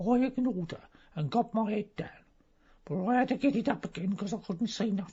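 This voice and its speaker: Put on as a character, the voice runs at a fairly quick pace with a fairly high pitch and lively intonation. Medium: audio drama. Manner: rambling, gossipy.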